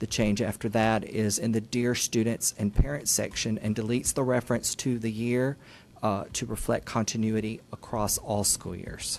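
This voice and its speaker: An unremarkable speaking voice, a man's at medium pitch, moves at a moderate pace with fairly even intonation. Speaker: school district staff presenter. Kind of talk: formal presentation at board meeting. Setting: public board meeting. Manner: formal.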